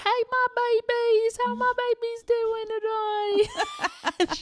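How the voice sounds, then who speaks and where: A put-on character voice speaks at an extremely high pitch. The pace is very slow. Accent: strong Southern. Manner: warm, affectionate.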